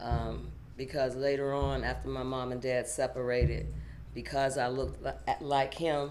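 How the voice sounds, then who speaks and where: Speaking at a moderate pace, a woman has an American accent. Audible room echo surrounds her voice. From Pittsburgh, Pennsylvania, US. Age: young. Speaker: author and motivational speaker. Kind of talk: interview testimony. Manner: halting, repeats words.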